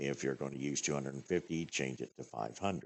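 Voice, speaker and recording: A man's very deep, low voice with vocal fry. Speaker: gaming YouTuber. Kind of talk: tutorial. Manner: halting, many fillers.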